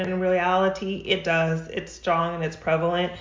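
The delivery is monotone and flat at a moderate pace, with audible echo in the room. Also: woman. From New Mexico. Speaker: doula. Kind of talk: interview.

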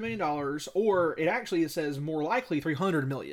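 On a very clean recording with a silent background, a man with a Southern US accent speaks at a fairly quick pace with lively intonation. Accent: Southern US (Georgia). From US South. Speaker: podcast co-host. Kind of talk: casual chat. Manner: fast.

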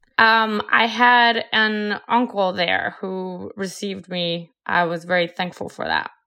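The speaker talks at a very slow pace in a Colombian accent. There are hardly any pauses. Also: woman, medium pitch for a woman, fairly even intonation. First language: Spanish. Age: 30s. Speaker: MBA student and entrepreneur. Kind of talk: interview.

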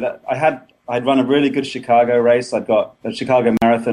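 A man with an English accent speaks at medium pitch. His tone is dark and mellow. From England. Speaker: running blogger. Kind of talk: casual interview. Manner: halting.

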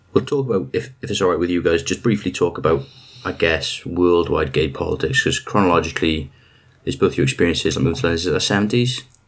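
In a Welsh accent, a man with a very deep, low pitch talks at a very fast pace with lively intonation. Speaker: podcast host. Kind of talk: interview. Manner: rambling.

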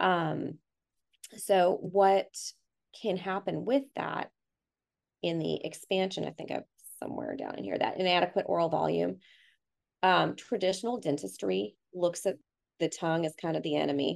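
Over a quiet background, the speech moves at a moderate pace with long, frequent pauses. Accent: American. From Canada, then Texas from mid-high school. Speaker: dentist. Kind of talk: casual interview.

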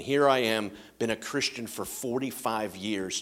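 A man talks at a moderate pace in an ordinary speaking voice. His pitch is fairly low. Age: 50s. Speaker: pastor. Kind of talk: sermon.

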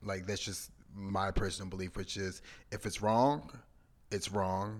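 A man speaks at a fairly slow pace in a fairly low pitch. His intonation stays monotone and flat. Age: 30s. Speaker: podcast co-host. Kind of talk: casual chat.

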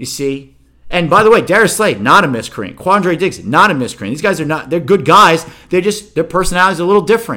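At a moderate pace, a man with a high pitch speaks in a bright, sharp tone. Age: 50s. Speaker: sports podcast host. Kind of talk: casual solo sports commentary. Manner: animated.

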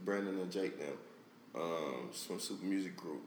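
A man with an American accent, fairly low in pitch, lively intonation, moderate pace, noticeable background noise. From South Florida. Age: 20s. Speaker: rapper. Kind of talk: casual interview.

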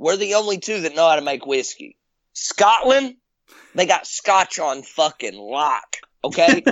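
The speaker has a Southern US accent and a fairly slow pace. The pitch swings very widely. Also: man, high pitch for a man. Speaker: former indie wrestler. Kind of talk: casual chat. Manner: animated.

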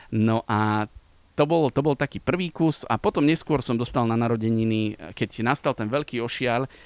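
An unremarkable speaking voice at a moderate pace with ordinary pitch variation and a dry, close sound with no echo. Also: man. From Slovakia, Liptov region. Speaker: radio sports presenter. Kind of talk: casual interview. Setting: outdoors in a park.

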